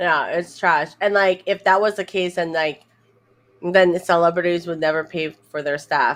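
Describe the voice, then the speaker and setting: The background is quiet. Against it, a woman speaks in a fairly low voice. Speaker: live streamer and content creator. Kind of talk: casual chat. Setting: live stream.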